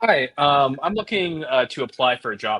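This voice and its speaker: Putting on a character voice, a man mumbles at a moderate pace in a fairly high pitch with lively intonation. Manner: hesitant, mumbling, unsure.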